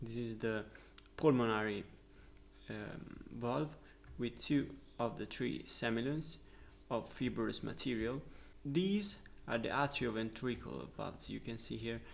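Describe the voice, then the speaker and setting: In audible room echo, a man with an Italian accent speaks at a fairly slow pace with long, frequent pauses. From Italy. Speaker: medical student, educational youtuber. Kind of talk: lecture. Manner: halting, with filler sounds.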